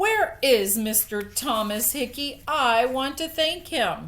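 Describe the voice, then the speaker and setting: A woman uses a put-on character voice, high in pitch. Her pace is fairly slow, and her pitch swings very widely. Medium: read story.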